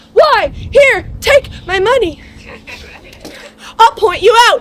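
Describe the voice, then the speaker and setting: Using a put-on character voice, a woman sounds bubbly at a fairly slow pace. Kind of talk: live comic crowd work. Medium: stage play. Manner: bubbly, joking.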